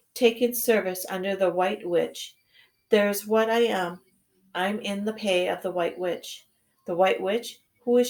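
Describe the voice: Plain reading aloud is set against a quiet background.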